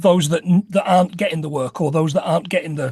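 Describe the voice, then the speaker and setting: Someone with a Nottingham accent speaks at a fairly quick pace. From England, Nottingham. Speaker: podcast co-host. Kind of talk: casual chat. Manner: halting, repeats words.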